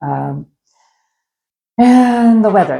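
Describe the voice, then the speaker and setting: A woman speaks with an American accent. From US Pacific Northwest, Seattle. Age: 60s. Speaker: travel vlogger. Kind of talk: casual vlog talk to camera. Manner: hesitant, many fillers.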